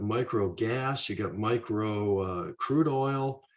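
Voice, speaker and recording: With a quiet background behind him, a man speaks in a somewhat breathy voice with ordinary pitch variation. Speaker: retired money manager. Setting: live stream. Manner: laid back.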